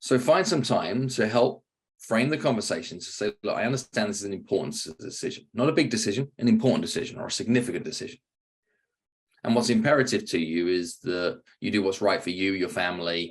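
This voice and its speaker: Speaking with a British accent, a man rushes along at a very fast pace. His pitch sits in the medium range, and his intonation is lively. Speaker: sales trainer and author. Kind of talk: podcast interview with sales role-play.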